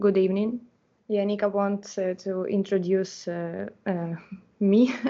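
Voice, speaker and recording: A woman talks fairly slowly at a medium pitch. Her intonation is flat and monotone. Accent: Ukrainian. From Ukraine, Enerhodar. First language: Ukrainian. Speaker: interpreter. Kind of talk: interpreting testimony. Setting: online live event. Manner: halting, many fillers.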